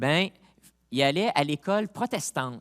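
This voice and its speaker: On a very clean recording with a silent background and a dry, close sound with no echo, a man with a Montreal accent speaks very slowly in a fairly high voice with lively intonation. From Quebec, Montreal. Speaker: pastor. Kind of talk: sermon. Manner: casual, halting with repetitions.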